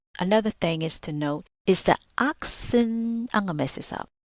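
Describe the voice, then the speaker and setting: A woman speaks with a Southern US accent and lively intonation, her tone bright and sharp. The sound is dry and close with no echo, on a very clean recording with a silent background. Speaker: podcast host. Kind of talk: motivational podcast talk. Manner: casual, conversational; stumbles over long words.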